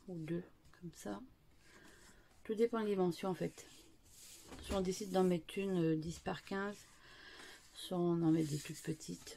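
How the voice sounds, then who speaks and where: Soft-spoken with a dark, mellow tone, the speaker keeps a moderate pace. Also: woman. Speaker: scrapbooking youtuber. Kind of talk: tutorial. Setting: at home. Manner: halting, many fillers.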